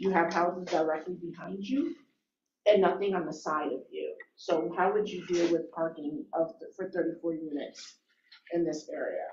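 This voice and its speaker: Speaking with an American accent, a woman uses a plain, everyday voice, fairly low in pitch with ordinary variation. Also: moderate pace. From Albany, New York. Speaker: planning board member. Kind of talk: public hearing questioning. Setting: public meeting.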